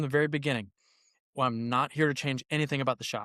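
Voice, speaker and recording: Delivered at a very fast pace with fairly even intonation, the voice sounds dry and close, with no echo. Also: man. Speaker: golf putter brand reviver. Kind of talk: podcast interview. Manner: halting, repetitive.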